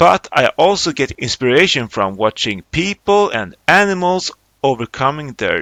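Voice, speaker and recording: In a Swedish accent, a man with a medium pitch and bright, sharp tone talks at a fairly slow pace with very wide pitch swings, in a very clean recording with a silent background and a dry, close sound with no echo. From Sweden. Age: 30s. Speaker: film director and animator. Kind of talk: interview.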